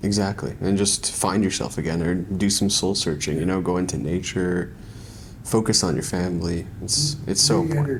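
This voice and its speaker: With a Canadian accent, a man speaks in a very deep, low voice at a moderate pace, his intonation lively and his loudness very even, with audible echo in the room. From Canada, countryside. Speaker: podcast host. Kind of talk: casual interview.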